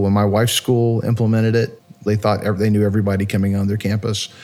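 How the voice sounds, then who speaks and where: A dark, mellow tone marks this man's medium-pitched voice. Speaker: chief marketing officer of a school security software company. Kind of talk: interview. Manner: animated.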